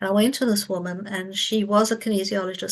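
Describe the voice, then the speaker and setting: Against a quiet background, a woman with an ordinary speaking voice talks at a fairly quick pace in a medium pitch with fairly even intonation. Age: 60s. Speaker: psychic healer. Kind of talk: interview testimony.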